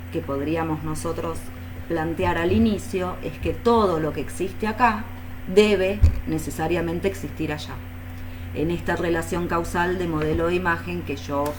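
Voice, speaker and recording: Noticeable background noise and audible room echo fill the recording. Within it, a woman talks at a fairly slow pace. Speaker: philosophy professor. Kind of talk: lecture.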